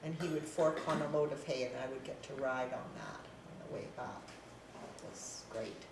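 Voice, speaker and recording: In an Albertan accent, a woman with a very deep, low pitch talks with fairly even intonation and big swings in loudness, over noticeable background noise and audible room echo. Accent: Canadian (Alberta). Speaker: elderly local resident sharing memories. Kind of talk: casual reminiscence interview.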